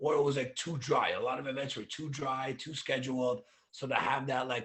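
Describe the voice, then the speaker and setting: Talking fairly quickly, a man uses a medium pitch. He has a Canadian accent. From Toronto, Canada (St. Jamestown), Russian immigrant family. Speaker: DJ and crypto public speaker. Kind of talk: casual interview chat.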